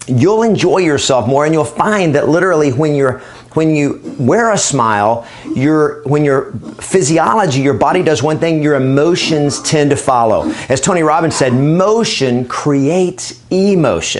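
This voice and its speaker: With an upbeat, energetic tone, a man speaks at a moderate pace and fairly high pitch, his pitch varying in an ordinary way and his loudness very even, over light background noise. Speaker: real estate trainer and coach. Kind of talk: training talk to camera. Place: studio. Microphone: lapel.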